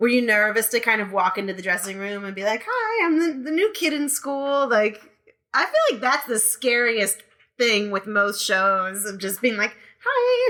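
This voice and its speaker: A woman's fairly high voice has a bright, sharp tone and ordinary pitch variation. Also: moderate pace. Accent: American. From New York. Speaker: podcast host and burlesque performer. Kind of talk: interview.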